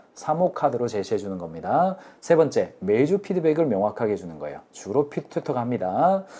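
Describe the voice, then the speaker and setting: The voice has vocal fry and a dark, mellow tone, moving at a moderate pace. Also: man. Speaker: business consultant hosting a live lecture. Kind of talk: live-streamed business lecture. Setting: live stream with chat.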